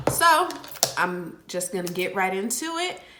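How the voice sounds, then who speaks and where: A woman speaks at a very slow pace. Audible room echo and noticeable background noise surround her. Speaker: natural hair vlogger. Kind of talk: hair tutorial vlog. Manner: casual, chatty.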